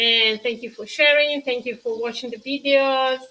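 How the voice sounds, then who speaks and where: A high-pitched woman speaks with a Tuscan accent in a bright, sharp tone. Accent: Italian-accented English with Tuscan features. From Tuscany, Italy. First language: Italian. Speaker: cooking show host. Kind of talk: live-stream cooking tutorial with viewer chat. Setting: live stream. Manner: halting, with many fillers.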